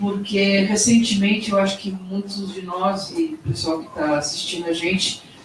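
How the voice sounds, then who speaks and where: A woman at a medium pitch and fairly slow pace, with audible room echo and noticeable background noise. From northern Brazil. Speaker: event moderator. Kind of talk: panel discussion at book launch.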